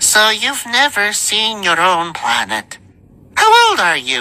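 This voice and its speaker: A man puts on a character voice pitched high, speaking at a fairly slow pace. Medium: read story. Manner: brisk, blunt.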